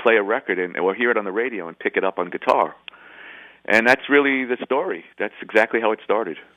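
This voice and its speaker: This is a man speaking with a New York accent. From New York City (Bronx). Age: 50s. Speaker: rock guitarist. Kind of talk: interview.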